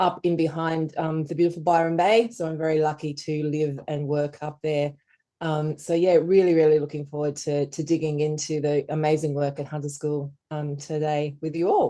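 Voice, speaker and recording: With an Australian accent, a woman speaks at a moderate pace in a very deep, low, dark and mellow voice with monotone, flat intonation. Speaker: education skills consultant. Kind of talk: webinar presentation.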